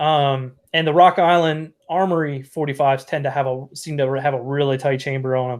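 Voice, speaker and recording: Fairly quick, fairly even speech from a man with a fairly high voice and a Southern US accent, on a very clean recording with a silent background. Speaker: live stream host. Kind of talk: casual chat. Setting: live stream. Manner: halting.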